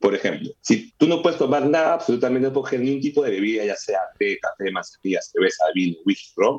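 The man speaks at a very fast pace. There are hardly any pauses. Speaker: beer pong entrepreneur. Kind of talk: casual chat.

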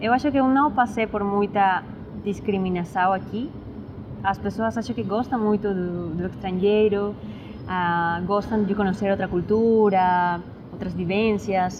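At a fairly slow pace, a woman speaks in a medium pitch with fairly even intonation. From Peru, Lima. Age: 20s. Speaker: musician and student. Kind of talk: interview. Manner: halting, code-switching Spanish and Portuguese.

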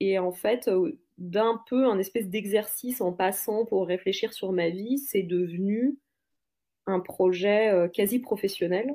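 A woman's medium-pitched, dark and mellow voice at a very slow pace, with ordinary pitch variation and very even loudness, in a very clean recording with a silent background. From France. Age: 40s. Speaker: podcaster. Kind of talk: casual interview chat. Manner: hesitant, many fillers.

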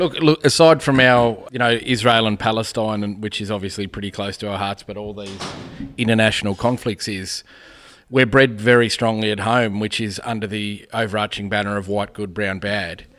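In an Australian accent, a man with a fairly low voice talks at a moderate pace, his intonation fairly even and his loudness swinging widely. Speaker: podcast host. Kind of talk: casual banter, political chat. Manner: swears often, laid-back.

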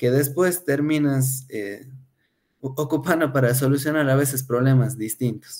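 In an ordinary speaking voice, a man talks at a fairly slow pace and medium pitch, his intonation fairly even. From Ecuador, Cuenca. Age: 30s. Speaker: food industry production engineer. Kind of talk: interview.

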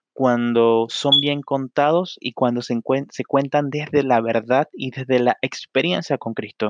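A man's medium-pitched voice with a Panamanian accent, fairly slow and with ordinary pitch variation, in a dry, close sound with no echo. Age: 20s. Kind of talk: solo podcast monologue. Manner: hesitant, frequent fillers.

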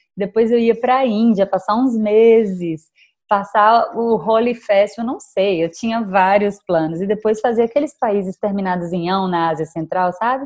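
A woman speaks at a moderate pace with a medium pitch and ordinary pitch variation. Hers is an ordinary speaking voice, with hardly any pauses. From Brazil, Bahia (Salvador). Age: 30s. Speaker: travel influencer. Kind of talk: interview conversation.

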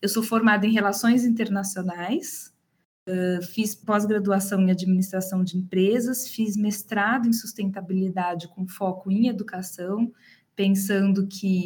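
The delivery comes at a moderate pace with fairly even intonation. The voice is somewhat breathy. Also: woman. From Brazil, Campinas (interior of São Paulo state). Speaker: HR manager. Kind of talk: interview.

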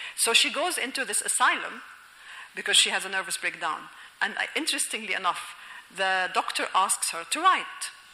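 In an Egyptian accent, a woman with a fairly high voice makes very wide pitch swings at a moderate pace, with audible room echo. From Egypt, Alexandria. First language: Egyptian Arabic. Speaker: novelist and linguistics professor. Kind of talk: lecture. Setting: auditorium with audience.

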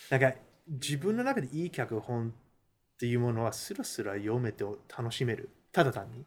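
A man at medium pitch with a non-native accent, ordinary pitch variation, big swings in loudness and a moderate pace. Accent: non-fluent Japanese. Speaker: Hollywood screenwriter. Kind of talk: casual interview chat.

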